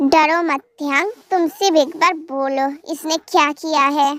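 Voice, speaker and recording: Using a put-on character voice, a woman speaks high-pitched at a fairly slow pace with fairly even intonation, in a dry, close sound with no echo. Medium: read story. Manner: firm, controlling.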